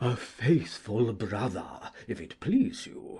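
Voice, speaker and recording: Using a put-on character voice, a man speaks at a very slow pace in a medium pitch. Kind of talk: early modern stage verse acting. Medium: audio drama. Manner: earnest and sanctimonious.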